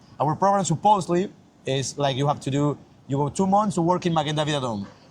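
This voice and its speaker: Somewhat breathy and very fast, the voice carries a Mexican accent and ordinary pitch variation. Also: man. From Mexico. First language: Spanish. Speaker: yeshiva student. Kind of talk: casual interview. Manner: halting.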